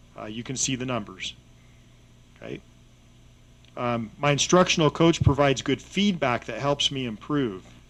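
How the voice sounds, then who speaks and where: A man's medium-pitched voice at a moderate pace, with lively intonation, big swings in loudness, and long, frequent pauses. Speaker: school district administrator. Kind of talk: presentation to school board. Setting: board meeting room. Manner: halting, many fillers and repeats.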